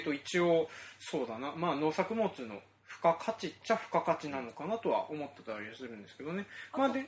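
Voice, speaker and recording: A man's fairly high voice at a fairly quick pace, with very wide pitch swings, big swings in loudness and noticeable background noise. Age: 30s. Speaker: farmer and podcast host. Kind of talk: casual chat.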